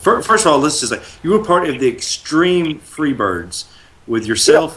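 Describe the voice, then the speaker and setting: Intonation is lively, and the pace is moderate. It is an unremarkable speaking voice. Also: man. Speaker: wrestling radio show host. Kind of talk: live radio show hosting.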